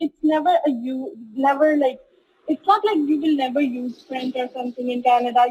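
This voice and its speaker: A woman speaks in a Punjabi accent at a high pitch and a fairly quick pace, with ordinary pitch variation. The sound is dry and close, with no echo. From Punjab, India. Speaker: student. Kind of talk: interview.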